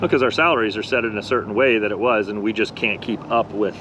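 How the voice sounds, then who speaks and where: With an American accent, a man speaks at medium pitch and a fairly quick pace, his intonation fairly even over noticeable background noise. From Florida, Tampa Bay area. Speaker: real estate agent. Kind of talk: casual chat.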